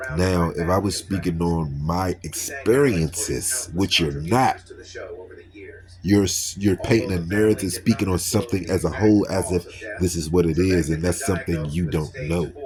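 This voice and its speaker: Speaking with an American accent, a man has a very deep, low pitch that is somewhat breathy. His pitch variation is ordinary and his pace moderate. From Washington, D.C. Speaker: YouTuber. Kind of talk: response video rant. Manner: animated.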